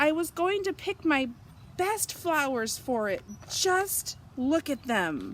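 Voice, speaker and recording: A woman puts on a character voice, high in pitch and swinging very widely up and down. She goes at a fairly slow pace with very even loudness, and background noise is clearly heard. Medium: read story.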